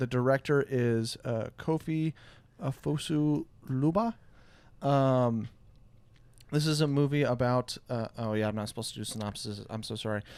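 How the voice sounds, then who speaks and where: Pausing long and often, a man with a Midwestern American accent speaks at medium pitch. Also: ordinary pitch variation, moderate pace. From US Midwest. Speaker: podcast host. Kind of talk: casual chat. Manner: halting, many fillers.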